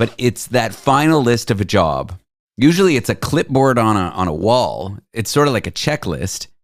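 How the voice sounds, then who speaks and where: Over a very clean recording with a silent background, a man talks at a moderate pace and medium pitch, using vocal fry and very wide pitch swings. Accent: Canadian. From Toronto, Canada. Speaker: talk show host. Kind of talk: casual chat.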